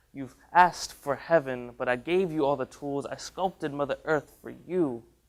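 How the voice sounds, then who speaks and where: A man with a normal speaking voice, fairly high-pitched, at a moderate pace, with ordinary pitch variation and big swings in loudness. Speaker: college student spoken word artist. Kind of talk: spoken word poetry performance.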